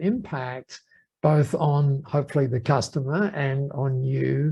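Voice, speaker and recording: A somewhat breathy voice is heard. It belongs to a man. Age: 70s. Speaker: entrepreneur. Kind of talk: podcast interview. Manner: animated; halting.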